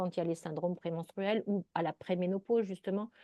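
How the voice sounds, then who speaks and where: The voice belongs to a woman. She talks fairly quickly. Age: 60s. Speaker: naturopath. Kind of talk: interview. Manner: animated.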